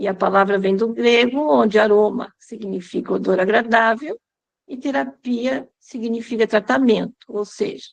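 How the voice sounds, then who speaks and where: Heard here is an ordinary speaking voice at a fairly slow pace. Its pitch varies in an ordinary way. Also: woman. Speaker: aromatherapy teacher. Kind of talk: lecture.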